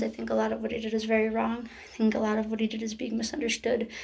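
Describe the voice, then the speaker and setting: A woman talks very fast at a fairly high pitch. Background noise is noticeable. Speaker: vlogger. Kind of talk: personal vlog update.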